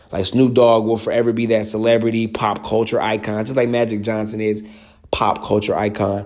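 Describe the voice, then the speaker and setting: A man with an American accent at medium pitch, fairly quick and animated, over noticeable background noise. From US South. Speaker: sports podcast host. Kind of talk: casual solo sports commentary. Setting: studio.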